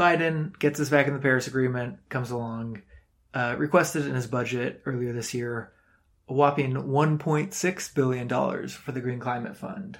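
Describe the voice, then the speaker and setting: With an American accent and an ordinary speaking voice, a man talks at a moderate pace and medium pitch with ordinary pitch variation. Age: 20s. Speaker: climate podcast host. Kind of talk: solo commentary podcast. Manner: frequent fillers and repetitions.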